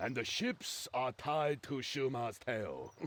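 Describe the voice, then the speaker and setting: Putting on a character voice, a man speaks at a fairly slow pace and a medium pitch. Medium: video game. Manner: boisterous, laughing.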